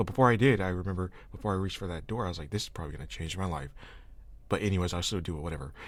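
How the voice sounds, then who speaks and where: Audible room echo surrounds a man with a very deep, low voice. He talks at a very fast pace with ordinary pitch variation. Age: 20s. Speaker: podcast host. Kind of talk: casual chat.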